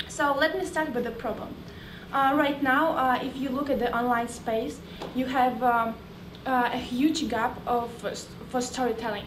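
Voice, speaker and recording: A woman with a Russian accent speaks in a high-pitched voice at a moderate pace, with ordinary pitch variation and long, frequent pauses. Noticeable background noise and audible room echo fill the recording. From Russia, Moscow. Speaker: startup founder. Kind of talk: sales pitch.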